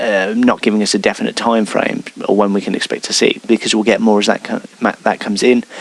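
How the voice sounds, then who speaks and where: Fairly quick speech from a man with an English Midlands accent, against noticeable background noise. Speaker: wargaming hobby video host. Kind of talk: news roundup monologue. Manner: hesitant, many fillers.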